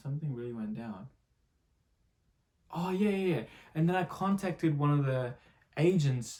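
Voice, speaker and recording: At a fairly quick pace, a man talks in a somewhat breathy voice with ordinary pitch variation. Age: 20s. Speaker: aspiring actor vlogger. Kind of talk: casual vlog storytelling. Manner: fast; animated.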